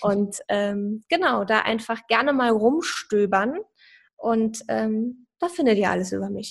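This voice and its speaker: This woman speaks very slowly with lively intonation and a fairly high pitch. The background is quiet. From Saarland, Germany. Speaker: personal branding coach. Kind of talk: podcast interview.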